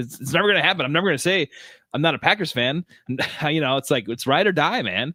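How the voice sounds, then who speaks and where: Very fast and lively in intonation, a man with a Wisconsin accent speaks at a fairly high pitch. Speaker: sports podcast co-host. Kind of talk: casual chat. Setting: live-streamed podcast.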